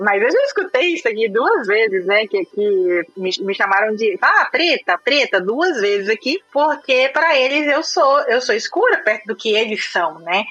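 Over noticeable background noise, a woman speaks at a high pitch and fairly slow pace, her pitch swinging very widely while her loudness stays very even and she hardly pauses. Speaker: IT recruiter living abroad. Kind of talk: casual chat.

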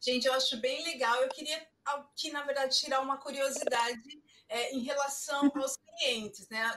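At a fairly slow pace, the female speaker talks in a high-pitched voice. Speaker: online forum host, beautician. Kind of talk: moderated online panel.

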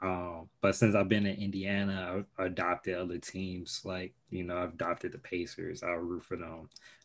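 In an American accent, a man with a very deep, low pitch speaks in a monotone, flat way at a moderate pace with hardly any pauses, against a quiet background. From Chicago. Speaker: podcast host, engineer. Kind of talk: casual interview.

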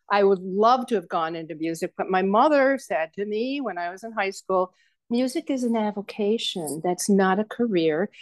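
A normal speaking voice from a woman at medium pitch, with lively intonation and a moderate pace, in a dry, close sound with no echo and a quiet background. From western New York State. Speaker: voice teacher and soprano. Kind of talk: interview.

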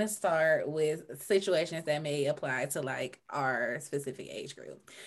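A normal speaking voice delivered at a fairly slow pace with ordinary pitch variation. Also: woman. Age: 30s. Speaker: podcast co-host. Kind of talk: casual chat.

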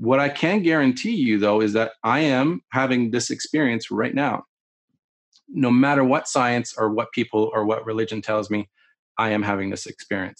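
With a Canadian accent and a normal speaking voice, the speaker talks at a moderate pace with ordinary pitch variation over a quiet background. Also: man, medium pitch for a man. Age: 40s. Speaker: military videographer and meditation teacher. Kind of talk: casual interview chat.

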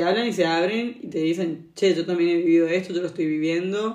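Here a woman speaks in a Rioplatense accent. Her pitch is fairly low. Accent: Argentine Spanish (rioplatense, voseo). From Argentina. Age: 20s. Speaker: traveller and yoga practitioner. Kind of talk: interview, casual conversation.

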